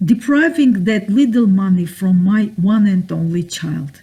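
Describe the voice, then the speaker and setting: Somewhat breathy and dark, mellow in tone, a woman speaks at a fairly slow pace with very wide pitch swings. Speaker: self-styled judge and author. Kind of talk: spoken talk or lecture with voice-over. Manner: indignant, accusatory.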